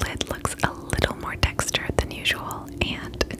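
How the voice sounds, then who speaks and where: A soft-spoken woman over loud background noise. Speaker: beauty vlogger. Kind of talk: casual makeup review chat. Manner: soft, close ASMR speaking voice. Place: home room. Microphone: phone near.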